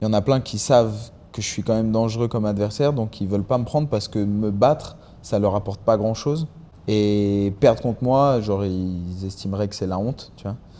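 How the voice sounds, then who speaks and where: A man speaks in a dark, mellow tone at a fairly low pitch. His pace is fairly quick, with ordinary pitch variation. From France and Mexico. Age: 20s. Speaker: MMA fighter. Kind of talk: podcast interview. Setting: fighting gym. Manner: hesitant, repeats words.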